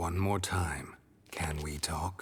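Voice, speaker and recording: This put-on character voice sits at a very deep, low pitch. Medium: video game. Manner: terse, dry, clipped.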